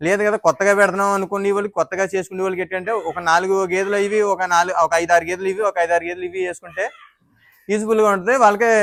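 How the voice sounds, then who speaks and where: A man talks in a high voice with monotone, flat intonation. The recording is dry and close, with no echo. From Andhra Pradesh, East Godavari. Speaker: dairy farmer. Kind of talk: interview.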